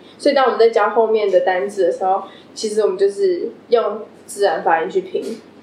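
A woman talks at a fairly quick pace with fairly even intonation. Her pitch is medium, and background noise is noticeable. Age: 20s. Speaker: English teacher. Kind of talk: casual chat.

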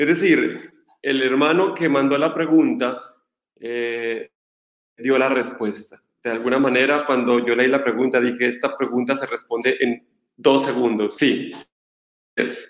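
Pausing long and often, a man speaks fairly slowly at a medium pitch with fairly even intonation. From Colombia. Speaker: Franciscan friar, Bible scholar. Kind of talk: lecture.

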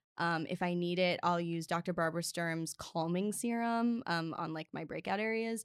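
A woman with an American accent and an unremarkable speaking voice talks at a moderate pace with hardly any pauses, a fairly low pitch and ordinary pitch variation. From US Mid-Atlantic (Maryland). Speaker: linguist and author. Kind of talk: casual interview chat. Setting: studio. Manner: talkative, frequent 'like' and 'um' fillers.

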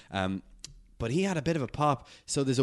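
The speech moves at a very fast pace with lively intonation. The background is quiet. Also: man. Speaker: podcast co-host interviewer. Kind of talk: casual interview.

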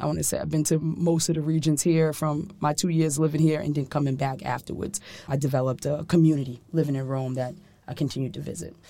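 A woman's very deep, low, dark and mellow voice at a very fast pace. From New York City, Harlem. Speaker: sommelier and wine consultant. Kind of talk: interview. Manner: animated.

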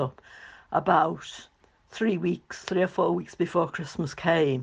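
A woman talks at a moderate pace in a Liverpool accent, her pitch fairly low with vocal fry. Her pitch varies in an ordinary way. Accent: Scouse. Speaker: host's mother. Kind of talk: recorded contribution, reminiscence.

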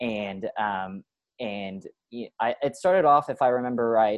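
In an American accent, a man uses an ordinary speaking voice at medium pitch, with ordinary pitch variation and a moderate pace. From central Oklahoma. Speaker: fraternity staff member. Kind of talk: interview.

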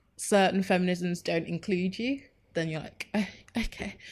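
A woman speaks with a London accent at a medium pitch. Her pace is fairly slow. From North London (Enfield). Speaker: community organiser and social media editor. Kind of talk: interview conversation.

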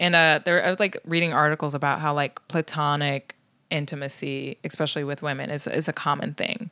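A woman with an American accent talks at a fairly quick pace in a very deep, low pitch and a bright, sharp tone, recorded dry and close with no echo on a very clean recording with a silent background. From US Midwest, South Bend, Indiana. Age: 20s. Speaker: comedian. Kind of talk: casual chat.

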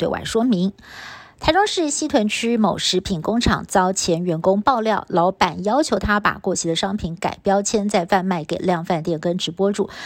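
In a Taiwanese accent, a woman speaks at a medium pitch and a moderate pace, with ordinary variation in her pitch. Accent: Taiwanese Mandarin. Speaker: news anchor. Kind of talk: news reading. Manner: formal.

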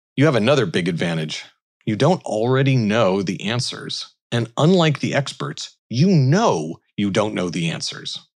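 With vocal fry, a man speaks at a medium pitch and makes very wide pitch swings. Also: moderate pace. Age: 40s. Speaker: commencement speaker, tech innovation leader. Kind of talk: commencement speech.

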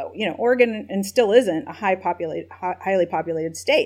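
Speaking in a normal speaking voice with an American accent, a woman holds a medium pitch with ordinary pitch variation. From US South, Nashville, Tennessee. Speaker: tech company policy executive, former government staffer. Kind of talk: interview.

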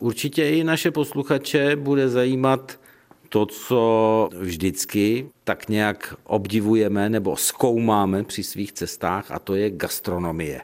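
Here a man speaks very slowly. His medium pitch carries lively intonation. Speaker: radio host. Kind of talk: radio interview. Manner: formal.

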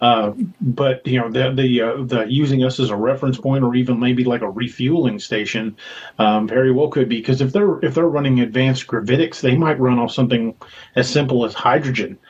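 A somewhat breathy man with an American accent, medium in pitch, with fairly even intonation at a fairly quick pace. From Missouri. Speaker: author and paranormal investigator. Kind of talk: casual chat.

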